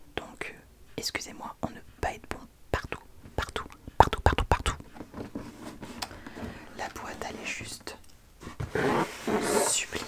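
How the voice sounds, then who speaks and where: A man whispers over noticeable background noise. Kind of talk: casual talk to camera, comedic ASMR parody. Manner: chatty, jokey, self-deprecating.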